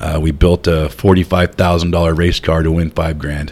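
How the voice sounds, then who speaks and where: Over noticeable background noise, a man with a very deep, low pitch speaks in a monotone, flat intonation. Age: 50s. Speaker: truck driver. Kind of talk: casual chat.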